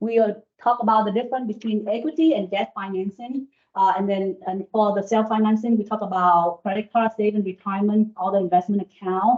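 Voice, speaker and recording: With a Vietnamese accent, the speaker moves at a fairly quick pace and keeps a fairly even intonation. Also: woman, medium pitch for a woman. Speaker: business professor and former banker. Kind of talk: presentation to live audience. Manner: fast.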